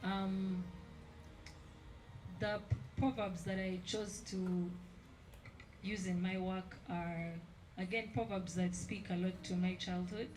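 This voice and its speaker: Through audible room echo, a woman with a medium pitch talks at a very slow pace. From central Uganda. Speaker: artist. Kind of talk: exhibition panel talk.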